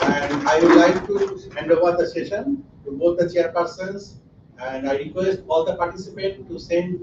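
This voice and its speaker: Audible room echo surrounds a high-pitched man speaking with a Bengali accent. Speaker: academic conference organizer. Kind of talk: conference opening remarks.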